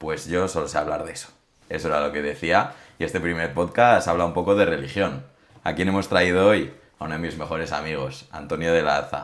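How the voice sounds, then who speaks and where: Audible room echo surrounds a man whose voice is very deep and low. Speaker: podcast host. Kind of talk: casual chat.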